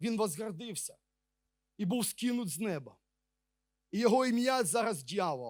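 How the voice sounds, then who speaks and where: A man with a high pitch talks at a fairly slow pace, his intonation lively and his pauses long and frequent. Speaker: preacher. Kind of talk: sermon.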